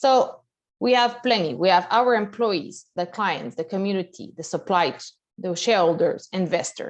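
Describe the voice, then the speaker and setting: Speaking with a Quebec accent at a moderate pace, the voice has lively intonation over a quiet background. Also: woman. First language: French. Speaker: bank executive. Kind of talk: presentation. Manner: halting.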